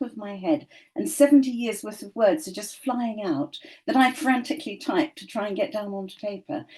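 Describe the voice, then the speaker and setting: High-pitched and fairly quick, a woman speaks with lively intonation. Her tone is dark and mellow. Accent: British. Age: 70s. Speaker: show co-host and author. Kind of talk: panel discussion. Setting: studio.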